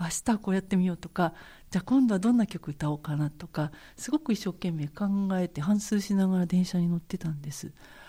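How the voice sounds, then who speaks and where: A woman's somewhat breathy voice, dark and mellow in tone, moves at a fairly quick pace on a very clean recording with a silent background. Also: medium pitch for a woman, ordinary pitch variation. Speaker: jazz vocalist. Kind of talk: interview, personal life story. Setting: recording studio.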